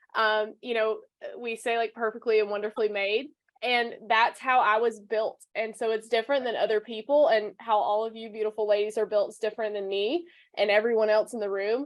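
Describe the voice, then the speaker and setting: Fairly high-pitched, a woman talks with a Southern US accent. Her pace is fairly quick. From US South. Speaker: personal branding coach. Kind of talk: interview. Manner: animated.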